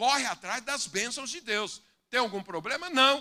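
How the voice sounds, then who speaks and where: A man raises and projects his voice at an extremely high pitch, bright and sharp in tone, moving at a fairly slow pace with ordinary pitch variation. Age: 60s. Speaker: pastor. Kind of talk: sermon. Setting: church with congregation.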